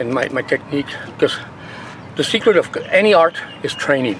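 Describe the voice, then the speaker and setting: Noticeable background noise runs through the clip. A man speaks over it at a fairly quick pace. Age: 60s. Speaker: martial arts master. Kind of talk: casual interview talk; demonstration. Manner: hesitant, repetitive.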